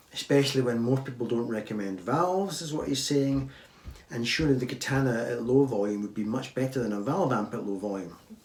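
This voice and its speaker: Over noticeable background noise, a man with a medium-pitched voice talks at a fairly quick pace with ordinary pitch variation. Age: old. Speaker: guitar YouTuber. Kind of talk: viewer Q&A talk with demonstration. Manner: casual, halting.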